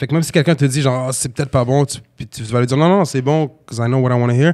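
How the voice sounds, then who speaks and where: The background is quiet. A man speaks at a very fast pace with fairly even intonation. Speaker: rapper and battle rapper; podcast guest. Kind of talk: casual chat. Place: studio. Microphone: studio mic.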